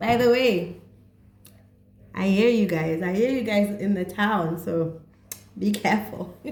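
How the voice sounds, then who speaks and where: In a room with audible echo, a woman with a medium pitch speaks at a fairly slow pace, somewhat breathy and animated in tone, with long, frequent pauses. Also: ordinary pitch variation. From South Africa or Botswana, Setswana-speaking. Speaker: psychotherapist and vlogger. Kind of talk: casual vlog talk on mental health.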